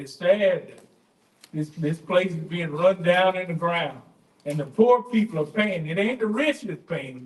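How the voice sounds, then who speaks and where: In a Louisiana accent, a man speaks at a high pitch with lively intonation. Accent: US Southern (Louisiana). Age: 60s. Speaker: public commenter at council meeting. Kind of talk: public comment speech. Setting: city council chamber. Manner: animated.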